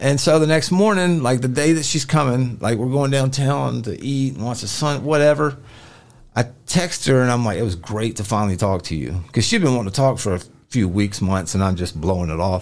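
On a very clean recording with a silent background, a man with a Memphis accent speaks fairly quickly at a medium pitch, his voice making very wide pitch swings. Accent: Southern US (Memphis). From US South, Memphis area. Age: 40s. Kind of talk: casual chat.

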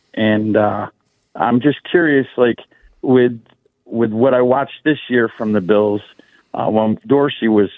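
Pitch moves in an ordinary way. It is a man talking. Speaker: caller. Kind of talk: radio call-in. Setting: phone call.

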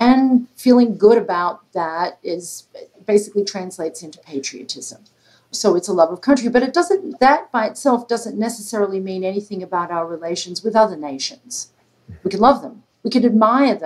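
A woman with an Australian accent, fairly high pitch and lively intonation, with big swings in loudness. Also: moderate pace. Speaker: political science professor. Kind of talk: interview.

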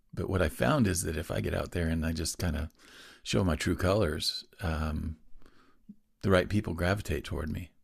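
A man with a very deep, low pitch and vocal fry speaks in an American accent at a moderate pace. His pitch varies in an ordinary way, and the recording is very clean with a silent background. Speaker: business owner and musician. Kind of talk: casual interview chat. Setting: podcast interview.

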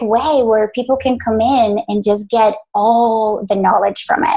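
A woman with a Spanish accent, fairly high pitch and a dark, mellow tone at a fairly slow pace. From Colombia, moved to US at 11. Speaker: business founder and leadership trainer. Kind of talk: interview.

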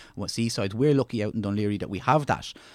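A very fast man's voice in an Irish accent, medium in pitch with fairly even intonation, dry and close with no echo, on a very clean recording with a silent background. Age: 40s. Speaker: leisure services executive. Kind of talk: casual chat.

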